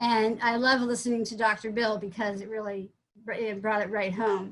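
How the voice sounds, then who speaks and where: A woman's fairly high voice with an American accent, flat and monotone in intonation, at a moderate pace. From Vermont, US Northeast. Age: 60s. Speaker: psychologist. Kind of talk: testimony. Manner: halting, many fillers and restarts.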